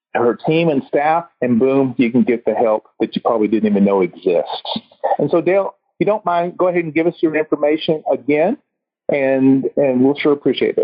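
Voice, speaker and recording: A man with a Texas accent and a fairly high pitch talks at a fairly quick pace with lively intonation. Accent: US Southern (Texas). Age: 50s. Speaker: chiropractor and podcast host. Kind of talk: casual interview chat. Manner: energetic.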